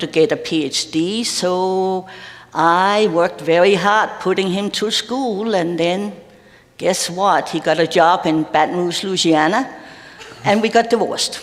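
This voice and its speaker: A woman with a Danish accent speaks at a fairly slow pace, with ordinary pitch variation. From Denmark. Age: old. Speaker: retired minister. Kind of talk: interview in church service.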